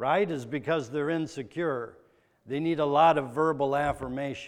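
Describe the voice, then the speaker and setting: Against a quiet background, a plain, everyday voice talks at a moderate pace with ordinary pitch variation. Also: man. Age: 40s. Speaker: pastor. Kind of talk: sermon.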